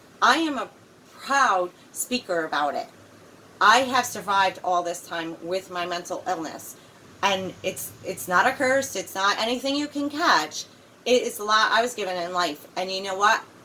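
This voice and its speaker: Noticeable background noise sits behind a woman's voice. She speaks at a medium pitch and a moderate pace. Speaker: mental health speaker and poet. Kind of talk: personal testimony vlog. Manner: candid, earnest; slightly halting at times.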